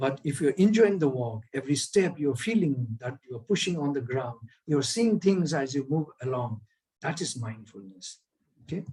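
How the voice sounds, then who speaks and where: Somewhat breathy and fairly high for a man, this man's voice makes very wide pitch swings at a fairly slow pace. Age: 60s. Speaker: speaker on well-being. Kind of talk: online lecture.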